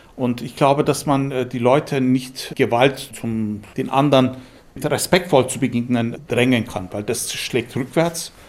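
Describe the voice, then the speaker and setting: Delivery is very slow, with fairly even intonation. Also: man, medium pitch for a man. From Istanbul, then Munich from age nine. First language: Turkish (speaking German). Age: 60s. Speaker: musician and composer. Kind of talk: interview.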